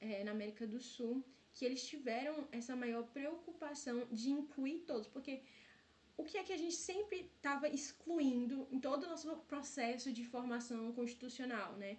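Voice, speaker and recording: A woman talks at a high pitch as room echo can be heard around her. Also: ordinary pitch variation, moderate pace. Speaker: student tutor leading exam review. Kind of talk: online review lecture.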